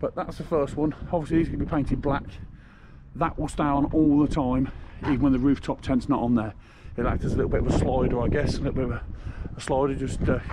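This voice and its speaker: A man talks very fast while noticeable noise carries on in the background. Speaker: DIY vehicle builder vlogger. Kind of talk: casual vlog chat. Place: street. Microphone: phone near.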